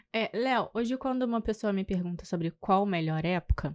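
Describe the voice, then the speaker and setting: A soft-spoken woman at medium pitch, with lively intonation, a moderate pace, and a dry, close sound with no echo. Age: 20s. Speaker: tour guide. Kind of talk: podcast interview. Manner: halting.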